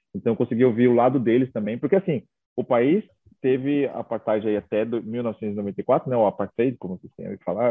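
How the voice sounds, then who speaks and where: A man speaks in an unremarkable speaking voice. His pitch is medium, with ordinary pitch variation. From São Paulo state, Brazil (Itaquaquecetuba). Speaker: travel content creator. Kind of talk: casual interview chat.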